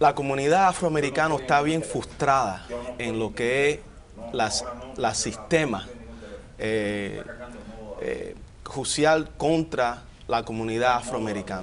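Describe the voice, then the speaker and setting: A man speaks at a very slow pace with long, frequent pauses. His pitch variation is ordinary, and there is noticeable background noise. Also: medium pitch for a man. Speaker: politician. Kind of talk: TV panel discussion. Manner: halting.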